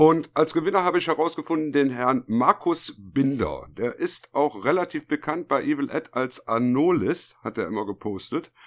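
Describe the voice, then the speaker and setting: A man with a normal speaking voice talks at a moderate pace with a fairly high pitch and lively intonation, leaving hardly any pauses. The recording is very clean, with a silent background. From Germany, Düsseldorf. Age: 50s. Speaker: podcast co-host. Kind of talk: casual chat.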